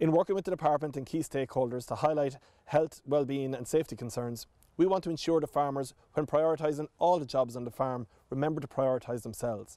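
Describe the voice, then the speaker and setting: Talking at a very fast pace, a man has a dark, mellow tone, recorded dry with no echo over a quiet background. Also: ordinary pitch variation. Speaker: government minister. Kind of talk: formal address to camera. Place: open country. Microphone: lapel.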